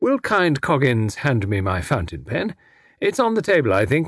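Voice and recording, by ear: The clip is reading aloud in a natural voice.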